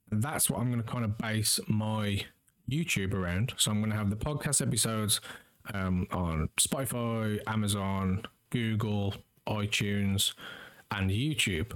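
A plain, everyday voice speaks at a fairly slow pace with ordinary pitch variation and very even loudness. The recording is very clean, with a silent background. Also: man, fairly low pitch for a man. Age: 30s. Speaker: podcast host and streamer. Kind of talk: solo monologue. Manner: casual, with many fillers.

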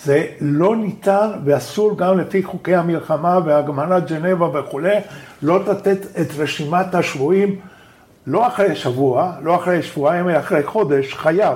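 A man with a non-native accent speaks at a fairly slow pace and a high pitch. His loudness stays very even, with ordinary pitch variation. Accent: non-native Hebrew. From Argentina, Buenos Aires. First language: Spanish (speaking Hebrew). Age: 70s. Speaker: professor and human rights activist. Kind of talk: interview.

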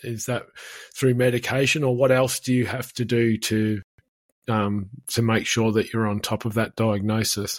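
A man speaks at a moderate pace in a medium-pitched voice, his intonation flat and monotone. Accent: Australian. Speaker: podcast host, farmer and speaker. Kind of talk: interview. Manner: halting, many fillers.

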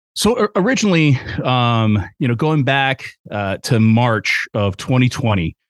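Recorded dry and close with no echo and a silent background in a very clean recording, a man talks at a medium pitch in an enthusiastic tone with lively intonation. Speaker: event emcee and trail advocacy coordinator. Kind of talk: casual interview, storytelling. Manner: enthusiastic, talkative.

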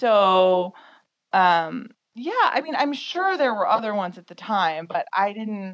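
A woman's fairly high, a normal speaking voice with an American accent, lively intonation and big swings in loudness. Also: fairly slow pace. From US Midwest, suburban Detroit. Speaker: photographer and magazine founder. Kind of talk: casual interview.

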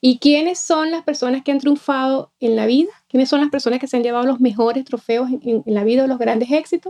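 A high-pitched woman's voice at a fairly quick pace, with ordinary pitch variation, hardly any pauses, and a dry, close sound with no echo. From Venezuela. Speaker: laughter therapist and life coach. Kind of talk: interview conversation.

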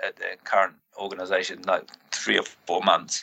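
This man has a British accent. His pace is moderate. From Britain. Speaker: strength and conditioning coach. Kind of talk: casual chat.

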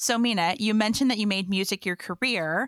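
A woman speaks at medium pitch and a moderate pace, with ordinary pitch variation and a normal speaking voice. The recording is very clean, with a silent background and a dry, close sound with no echo. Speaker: podcast host. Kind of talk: interview.

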